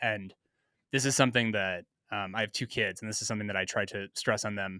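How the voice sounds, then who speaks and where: Recorded very cleanly against a silent background, a man speaks with an American accent at a fairly quick pace and a fairly low pitch. His tone is bright and sharp, and the sound is dry and close with no echo. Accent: slight Minnesota accent on some vowels. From US Midwest, Minnesota. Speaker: podcast co-host. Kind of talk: casual chat.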